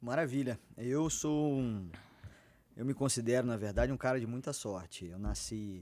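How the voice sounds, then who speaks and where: Ordinary pitch variation and a moderate pace mark a man's speech on a very clean recording with a silent background. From interior of Rio de Janeiro state, near Minas Gerais and Espírito Santo. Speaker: physician. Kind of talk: podcast interview.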